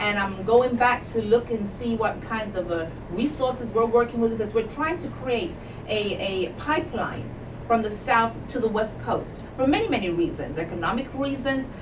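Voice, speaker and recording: With a Jamaican accent, a woman with a fairly high pitch speaks at a moderate pace with lively intonation, amid audible room echo and noticeable background noise. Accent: noticeable accent, Jamaican-born English. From England. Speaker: civil rights advocate, academic. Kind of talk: radio interview. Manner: emphatic, exhorting.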